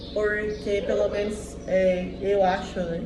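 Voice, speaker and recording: Monotone, flat speech with an inland southeastern Brazilian accent, audible room echo and noticeable background noise. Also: woman. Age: 30s. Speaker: diet vlogger. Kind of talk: casual vlog monologue. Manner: hesitant, many fillers.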